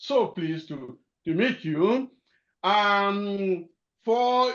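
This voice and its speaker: This man speaks loudly at a high pitch, with ordinary pitch variation. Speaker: keynote speaker, clergyman. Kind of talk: webinar keynote address.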